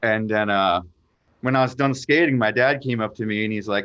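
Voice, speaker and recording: A man speaks at a moderate pace in a plain, everyday voice, medium in pitch, with an American accent. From Florida. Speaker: professional skateboarder. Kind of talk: casual chat.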